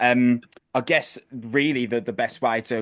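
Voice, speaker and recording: With a West Midlands accent, a man talks at a medium pitch in a monotone, flat way. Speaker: music interviewer. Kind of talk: interview. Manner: casual.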